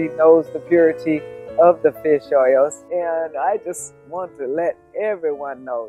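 Over faint background music, a woman speaks with ordinary pitch variation, the sound dry with no echo. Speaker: truck driver. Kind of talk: product testimonial. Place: garden.

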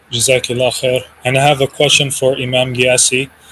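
Light background noise is present. The voice is a man's. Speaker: conference moderator. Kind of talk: Q&A moderation. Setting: video call. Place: home room.

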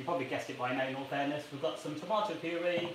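A man's voice comes with audible room echo and a little background noise. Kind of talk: tutorial. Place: kitchen. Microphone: camera far.

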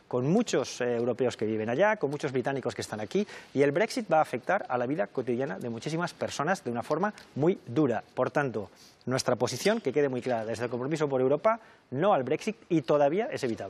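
With very wide pitch swings, a man with a fairly high pitch speaks at a very fast pace. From Spain. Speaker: politician, election candidate; candidate. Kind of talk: televised political debate. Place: studio. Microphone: lapel.

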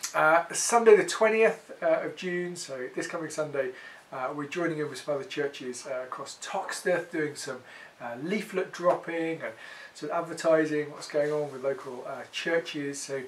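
Loudness swings widely at a moderate pace. Pitch varies in an ordinary way over light background noise. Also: man. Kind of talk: announcement update to congregation. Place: home room.

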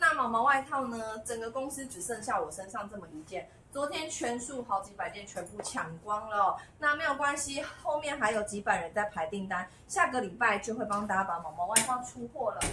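Speaking at a moderate pace, a woman shows big swings in loudness. Audible room echo and light background noise surround her. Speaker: online clothing seller. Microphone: phone near.

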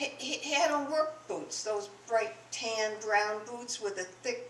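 Amid light background noise and audible room echo, a woman speaks at a very slow pace in a fairly high pitch with ordinary pitch variation. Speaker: storyteller. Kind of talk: personal story told to an audience. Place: shop. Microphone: podium.

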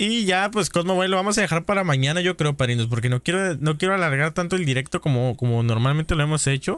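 The delivery is very fast, with hardly any pauses and very even loudness. The intonation is lively, the tone animated, and the sound dry with no echo. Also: man, fairly high pitch for a man. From northern Mexico, Baja California. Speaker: gaming streamer. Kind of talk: casual live-stream chat with gameplay. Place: home room.

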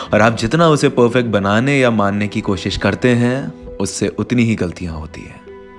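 Lively intonation over music in the background. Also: man. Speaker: poet. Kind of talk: spoken word poetry. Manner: emotional.

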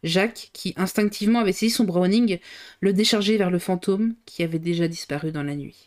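The woman has a normal speaking voice at medium pitch. She keeps a moderate pace with ordinary pitch variation. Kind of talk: audiobook reading aloud of a novel, live on stream. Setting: live stream. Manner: reads at a steady pace, stumbling and re-reading a few phrases.

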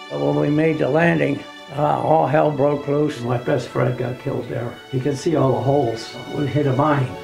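A man talks at a moderate pace. Clear music sits behind his voice. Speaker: war veteran. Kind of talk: interview answer. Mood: somber, reflective. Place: home room.

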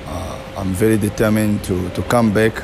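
Music plays in the background behind a man. His fairly low voice keeps a fairly even intonation. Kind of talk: interview answer. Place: gym. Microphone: handheld.

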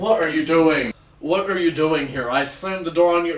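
Audible room echo surrounds a man's voice. He talks at a moderate pace with ordinary pitch variation. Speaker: amateur actor. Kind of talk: dramatic acted monologue. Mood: angry, anguished outburst. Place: home room. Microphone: camera far.

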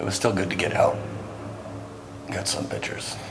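A man talks at a moderate pace. Noticeable background noise is present behind him. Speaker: urban exploring vlogger. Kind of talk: casual vlog chat. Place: tunnel cave. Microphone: phone near.

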